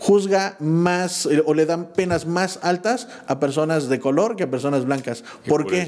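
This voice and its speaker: A man's high-pitched voice at a moderate pace, with ordinary pitch variation, very even loudness and noticeable background noise. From Pachuca, Mexico. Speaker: entrepreneur, community member. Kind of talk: casual chat. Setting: office studio.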